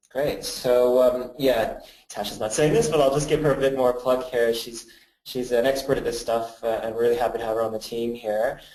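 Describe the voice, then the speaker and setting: With a Canadian accent, a man of medium pitch and dark, mellow tone speaks at a moderate pace in fairly even intonation, with audible room echo. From Canada. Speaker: creative agency director and presenter. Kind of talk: webinar presentation. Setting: badly lit room, video webinar. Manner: casual, many filler words.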